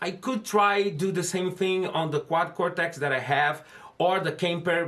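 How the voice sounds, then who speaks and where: Speaking with a Brazilian accent, a man talks at a fairly slow pace in a high pitch with fairly even intonation. Noticeable background noise runs behind him. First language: Portuguese. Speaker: guitar gear video host. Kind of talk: casual gear demo talk to camera. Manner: halting, with restarts.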